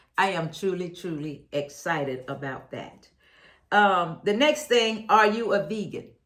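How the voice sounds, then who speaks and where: Fairly slow delivery with very wide pitch swings, big jumps in loudness, and audible room echo. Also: woman, medium pitch for a woman. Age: 70s. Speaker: health lifestyle vlogger. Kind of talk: Q&A testimony to camera. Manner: halting with false starts.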